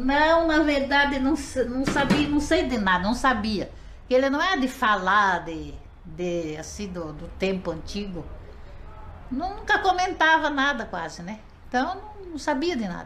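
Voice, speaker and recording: A woman's high-pitched voice at a fairly slow pace, with very wide pitch swings and big swings in loudness, amid audible room echo and noticeable background noise. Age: 70s. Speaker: interviewee, wife of former orphan. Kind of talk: interview.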